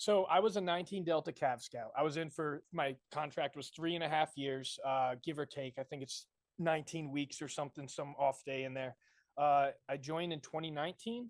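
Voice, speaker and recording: A man with an American accent talks fairly quickly in a plain, everyday voice, fairly high in pitch with ordinary variation, the sound dry and close with no echo. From Connecticut, US Northeast. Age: 20s. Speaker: army veteran and conspiracy video maker. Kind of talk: podcast debate interview.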